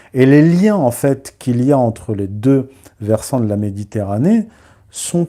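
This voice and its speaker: This man's voice has a dark, mellow tone. He speaks at a very slow pace. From born in Morocco, raised in Paris and its suburbs. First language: Berber (Amazigh) (speaking French). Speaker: historian and author. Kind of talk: live stream commentary. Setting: live stream. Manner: hesitant, many filler sounds.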